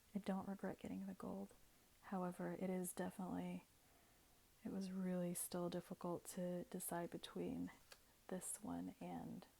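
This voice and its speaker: A soft-spoken woman with long, frequent pauses. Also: moderate pace. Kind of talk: ASMR unboxing, soft spoken talk to camera. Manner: soft-spoken, casual.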